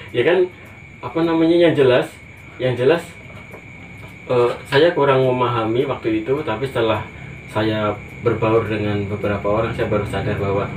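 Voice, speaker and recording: A man with a Javanese accent at a moderate pace, ordinary pitch variation, and long, frequent pauses, amid audible room echo and noticeable background noise. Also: medium pitch for a man. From Java, Indonesia. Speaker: teacher. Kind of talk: interview. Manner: halting.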